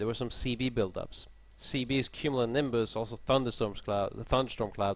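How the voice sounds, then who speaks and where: The recording is very clean, with a silent background. A man speaks with a Swedish accent at medium pitch and ordinary pitch variation. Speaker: airline pilot streaming a live tutorial. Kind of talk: live-stream tutorial. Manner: casual, halting.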